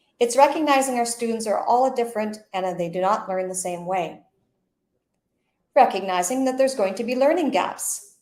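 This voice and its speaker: With a Canadian accent, a woman speaks in a fairly high pitch with lively intonation, and there is audible room echo. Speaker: education consultant. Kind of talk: presentation. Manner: fast; halting.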